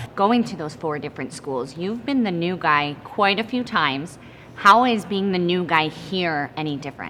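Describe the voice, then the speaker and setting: A woman has a plain, everyday voice, fairly low in pitch. She moves at a moderate pace with lively intonation. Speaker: sports broadcaster, reporter. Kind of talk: sports interview questions to an athlete.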